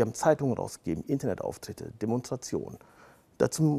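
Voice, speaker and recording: A man's medium-pitched voice with a dark, mellow tone, lively intonation and vocal fry, on a very clean recording with a silent background. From Germany, Siegerland (rural), child of Turkish immigrants. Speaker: lawyer. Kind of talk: interview. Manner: frequent fillers (äh, ja).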